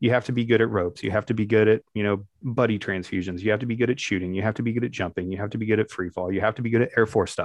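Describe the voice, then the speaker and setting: A man with an American accent talks at a very fast pace. He leaves hardly any pauses, and his intonation is fairly even. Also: fairly low pitch for a man. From Northeast Ohio, US (Barberton near Akron). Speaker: military pararescue jumper. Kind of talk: casual interview.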